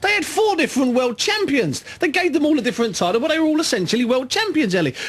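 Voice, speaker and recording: A man speaks very fast against noticeable background noise. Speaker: boxing pundit. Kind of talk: radio discussion.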